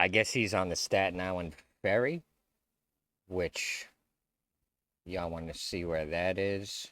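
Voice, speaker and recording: Pausing long and often, a man with a very deep, low pitch and an American accent keeps his intonation fairly even on a very clean recording with a silent background. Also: fairly slow pace. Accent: New York, watered down. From New York. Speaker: YouTube commentator. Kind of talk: video reaction commentary. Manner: casual, halting.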